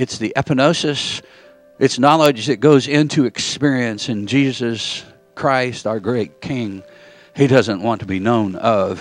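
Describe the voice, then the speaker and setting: A man at a fairly slow pace, dry sound with no echo, faint music in the background. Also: ordinary pitch variation. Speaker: preacher. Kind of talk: sermon. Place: church.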